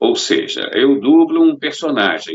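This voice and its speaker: This man talks at a fairly slow pace. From Rio de Janeiro, Brazil. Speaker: voice actor and dubbing director. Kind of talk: interview answer.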